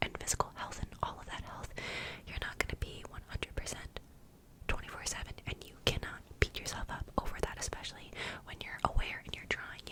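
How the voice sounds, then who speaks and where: Amid noticeable background noise, a woman whispers at a fairly quick pace with big swings in loudness. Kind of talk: ASMR whispered ramble, casual talk to camera. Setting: close to microphone in home studio. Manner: soft whispered, rambly, cozy.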